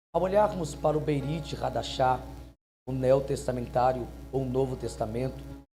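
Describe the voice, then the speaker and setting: A man speaks with music playing in the background. There is audible echo in the room. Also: moderate pace. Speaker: pastor. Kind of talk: sermon. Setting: church. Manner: soft-spoken.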